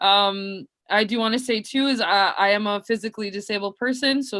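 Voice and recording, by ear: A woman speaks at medium pitch with a fairly bright tone. Her pitch variation is ordinary.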